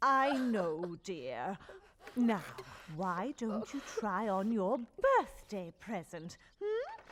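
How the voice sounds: A woman speaks at a medium pitch in a put-on character voice. Her pitch swings very widely at a very slow pace.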